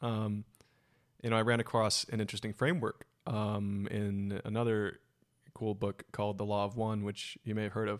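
A man's fairly low voice in a Californian accent, monotone and flat at a moderate pace, in a very clean recording with a silent background. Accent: Californian American. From Silicon Valley, California. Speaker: podcast host. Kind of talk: casual interview.

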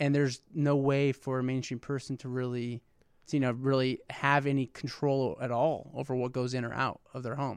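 The man's intonation is flat and monotone, and he keeps to a moderate pace. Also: medium pitch for a man. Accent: Midwestern American. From Indiana (West Lafayette). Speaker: venture investor, startup CEO. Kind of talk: casual interview.

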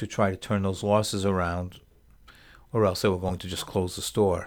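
In a very clean recording with a silent background, a man speaks in a flat monotone at a very deep, low pitch. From Rhode Island. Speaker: business owner. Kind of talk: casual interview.

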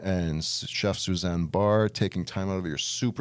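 Very clean recording with a silent background, of a man with a very deep, low pitch at a moderate pace. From Barbados. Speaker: podcast co-host, chef. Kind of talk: interview.

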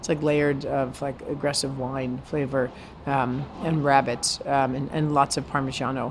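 Over noticeable background noise, a woman with an American accent speaks in a very deep, low pitch with monotone, flat intonation. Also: moderate pace. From New York City (Brooklyn). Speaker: chef. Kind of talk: casual interview. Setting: in a restaurant.

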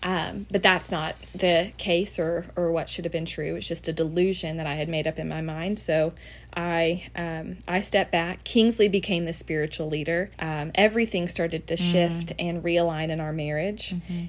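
Recorded very cleanly with a silent background, a woman with a Southern US accent speaks at a moderate pace and fairly low pitch, with fairly even intonation and hardly any pauses. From Tennessee, US South. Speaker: guest sharing her testimony. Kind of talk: testimony. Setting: recording in person with host.

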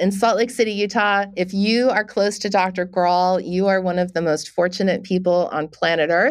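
In an ordinary speaking voice, a woman at a medium pitch talks at a moderate pace with fairly even intonation, very even loudness and hardly any pauses against a quiet background. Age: 50s. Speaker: podcast host. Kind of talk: casual chat; scripted narration.

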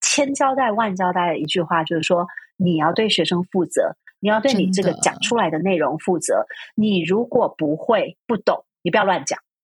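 Somewhat breathy at a medium pitch, a woman speaks at a moderate pace with lively intonation and very even loudness, the sound dry and close with no echo. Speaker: university Chinese lecturer. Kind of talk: casual interview chat. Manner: hesitant, many fillers.

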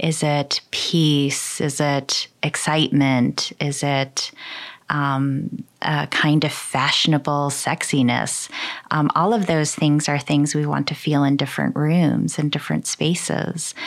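Speaking very slowly in a Midwestern accent, a woman has a very deep, low pitch, fairly even intonation and very even loudness. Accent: General American (Midwest). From Michigan, US. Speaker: interior designer. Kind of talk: interview. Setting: at her home.

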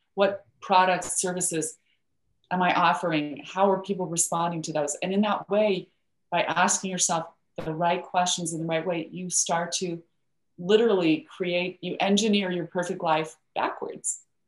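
An unremarkable speaking voice from a woman, fairly low in pitch, at a moderate pace with fairly even intonation. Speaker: life coach and hypnotherapist. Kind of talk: interview conversation.

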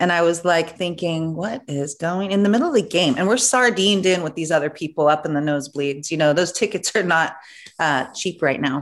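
A woman in a plain, everyday voice talks at a fairly quick pace and fairly low pitch with ordinary pitch variation, in a very clean recording with a silent background. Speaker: podcast host. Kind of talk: casual chat.

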